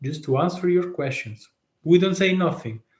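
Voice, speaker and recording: Lively intonation runs through this man's speech. He has an Italian accent. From Italy. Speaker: tax consultant. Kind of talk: live stream talk. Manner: halting, many fillers.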